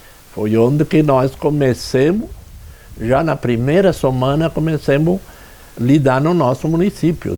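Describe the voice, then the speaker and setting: The voice has a dark, mellow tone and very even loudness. Its pitch varies in an ordinary way, and the pace is fairly slow. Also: man, fairly high pitch for a man. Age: 80s+. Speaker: local elder, town founder. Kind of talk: interview testimony.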